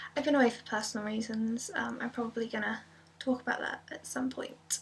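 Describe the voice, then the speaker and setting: Soft-spoken, a woman talks with an English accent at a fairly quick pace. Her pitch is fairly high and her intonation fairly even. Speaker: ASMR youtuber. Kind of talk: casual vlog update. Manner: many filler ums.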